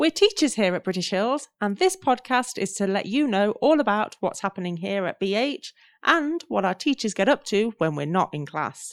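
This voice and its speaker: The voice swings very widely in pitch, in an English Midlands accent. The sound is dry and close with no echo, and the recording is very clean against a silent background. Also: woman, medium pitch for a woman, moderate pace, hardly any pauses. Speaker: English teacher and podcast co-host. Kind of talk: casual chat.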